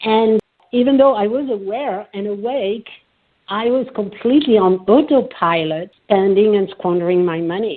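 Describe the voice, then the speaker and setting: A woman speaks in a French accent at a fairly high pitch. Her pace is moderate, with ordinary pitch variation. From France. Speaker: psychotherapist and coach. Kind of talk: podcast interview.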